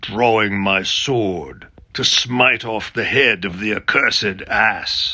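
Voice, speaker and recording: A man's raspy put-on character voice at medium pitch and a fairly slow pace. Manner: terrible, menacing.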